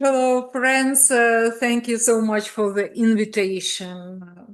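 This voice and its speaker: Very slowly, a woman with a Ukrainian accent speaks at a fairly high pitch, with fairly even intonation and very even loudness. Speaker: pediatrics professor. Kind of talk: presentation. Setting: video call. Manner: halting.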